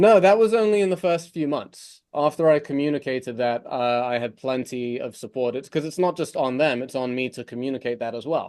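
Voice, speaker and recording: A man with an American accent speaks at a fairly quick pace with lively intonation. His pitch is fairly high, and the background is quiet. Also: hardly any pauses. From England, London. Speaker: mortgage broker, company CEO. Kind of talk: podcast interview. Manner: casual, conversational with fillers.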